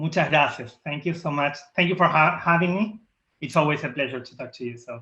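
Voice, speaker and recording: A man with a strong Argentine accent, fairly high-pitched and fairly quick, with ordinary pitch variation and big swings in loudness. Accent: thick Argentine Spanish. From Argentina. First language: Spanish. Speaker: diversity and inclusion leader. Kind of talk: interview.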